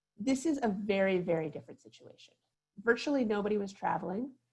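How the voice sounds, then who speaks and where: Here a woman speaks with an American accent at a moderate pace, in a medium pitch with ordinary pitch variation. Her voice is somewhat breathy. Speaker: consumer advocate. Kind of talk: online workshop presentation. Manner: soft-spoken. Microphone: too quiet for some listeners.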